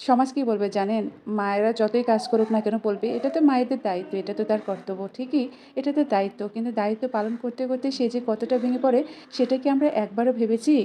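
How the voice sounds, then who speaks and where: The intonation is fairly even. There is noticeable background noise. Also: woman, fairly high pitch for a woman. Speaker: vlogger, new mother. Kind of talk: vlog voiceover narration.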